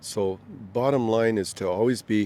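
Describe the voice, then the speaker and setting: With a Canadian accent and a plain, everyday voice, a man of fairly low pitch speaks at a fairly slow pace with fairly even intonation. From Canada, Ontario. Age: 60s. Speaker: retiree. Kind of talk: street interview.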